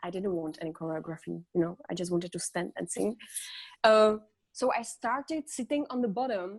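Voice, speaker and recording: A woman with a Czech accent speaks at a moderate pace and medium pitch, in a dry, close sound with no echo. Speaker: singer. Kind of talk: interview. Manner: halting.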